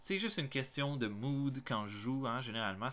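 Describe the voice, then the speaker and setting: On a very clean recording with a silent background, a man with a Quebec accent talks at a moderate pace and medium pitch, his tone bright and sharp and his intonation lively. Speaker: gaming YouTuber. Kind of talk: casual vlog monologue. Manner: hesitant, many fillers.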